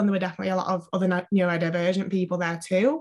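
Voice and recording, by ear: Over noticeable background noise, a woman with a medium-pitched voice talks at a very fast pace.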